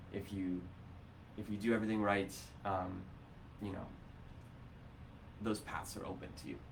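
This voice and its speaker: Speaking with an American accent, a man keeps a fairly low pitch and fairly even intonation. Long, frequent pauses break up his speech amid audible room echo. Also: moderate pace. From Ohio. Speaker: teacher and local sustainability council member. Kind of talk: live-streamed interview. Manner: hesitant, many fillers.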